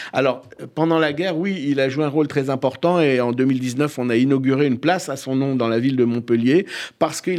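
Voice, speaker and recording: The recording is very clean, with a silent background. A man speaks in a normal speaking voice at a moderate pace, with medium pitch and ordinary pitch variation. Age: 50s. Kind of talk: radio interview.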